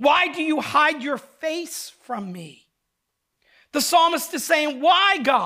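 Extremely high-pitched and raised, a man projects his voice in an American accent. His tone is bright and sharp, and his pace very slow. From southern New Jersey. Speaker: pastor. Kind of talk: sermon.

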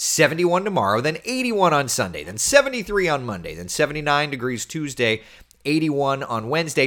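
Animated in tone, a man with vocal fry speaks at a fairly quick pace with very wide pitch swings, in a very clean recording with a silent background. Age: 30s. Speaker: TV meteorologist. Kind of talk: casual weather livestream chat.

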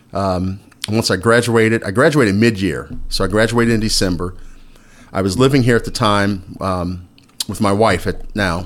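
An unremarkable speaking voice from a man with an American accent, fairly low in pitch, ordinary in pitch variation, and moderate in pace. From Indiana. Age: 50s. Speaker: high school principal. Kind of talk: casual interview chat.

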